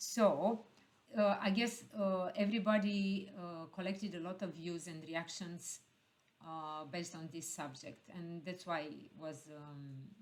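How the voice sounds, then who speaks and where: Loudness swings widely as a woman speaks at a fairly slow pace in a fairly low pitch with ordinary pitch variation. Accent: Romanian. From Romania. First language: Romanian. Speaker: heritage expert. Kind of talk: panel discussion. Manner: halting, many fillers.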